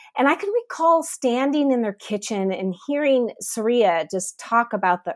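A woman with an American accent and a plain, everyday voice speaks at a moderate pace with lively intonation, recorded very cleanly against a silent background with a dry, close sound and no echo. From US Midwest, Northeast Ohio. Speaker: missionary. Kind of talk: interview testimony.

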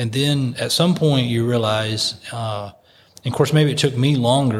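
The voice is somewhat breathy, with an American accent. It moves at a moderate pace with ordinary pitch variation. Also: man. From United States. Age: 40s. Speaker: missionary. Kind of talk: casual chat.

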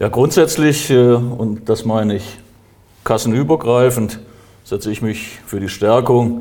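Very slow speech from a man at medium pitch, with fairly even intonation. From Germany, northern Hesse. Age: 60s. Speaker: mayor and election candidate. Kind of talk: interview. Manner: formal.

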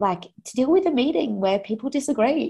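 A dark, mellow tone with an Australian accent. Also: woman. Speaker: fintech founder. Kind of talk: interview.

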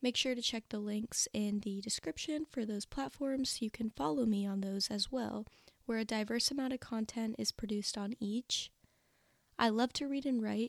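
A plain, everyday voice from a woman, fairly high in pitch, at a moderate pace with ordinary pitch variation, in a very clean recording with a silent background and a dry, close sound with no echo. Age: 20s. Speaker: book podcast host. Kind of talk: solo podcast introduction. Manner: upbeat.

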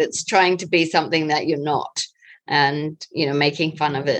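A woman with a New Zealand accent speaks in a very deep, low voice with monotone, flat intonation. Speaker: interviewee. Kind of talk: casual interview answers.

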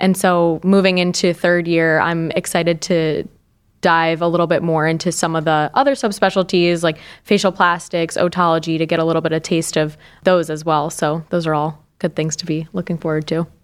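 A woman with a normal speaking voice and an American accent talks at a moderate pace, fairly low in pitch and fairly even in intonation. The recording is very clean, with a silent background. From upstate New York. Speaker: surgical resident. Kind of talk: casual interview.

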